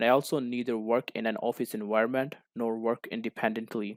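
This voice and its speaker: A man with a non-native accent and a medium pitch talks at a moderate pace, recorded very cleanly with a silent background and a dry, close sound with no echo. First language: not English. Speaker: co-op student. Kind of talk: class presentation. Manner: formal.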